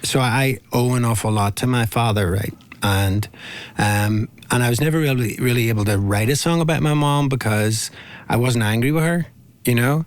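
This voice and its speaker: At a moderate pace, a man with a Northern Irish accent speaks at a medium pitch with ordinary pitch variation and very even loudness. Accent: Northern Irish (Belfast). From Belfast, Northern Ireland. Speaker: singer-songwriter. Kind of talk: interview. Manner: halting.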